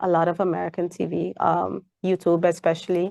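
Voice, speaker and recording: Against a quiet background, a woman talks at a medium pitch with vocal fry. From Saint Martin. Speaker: parent. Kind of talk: interview. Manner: casual conversational.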